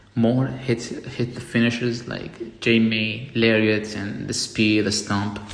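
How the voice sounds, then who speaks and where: A man speaks at a medium pitch with a non-native accent. The room echo is audible and background noise is noticeable. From outside the US. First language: not English. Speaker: wrestling reviewer. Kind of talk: casual review monologue. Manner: halting, repeats words. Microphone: poor audio, mic charger broken.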